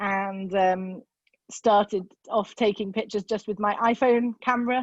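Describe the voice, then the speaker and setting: Medium pitch from a woman with a British accent, fairly even intonation, and a dry, close sound with no echo. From UK. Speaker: amateur bird photographer. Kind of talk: presentation. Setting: video call. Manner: hesitant, with many fillers.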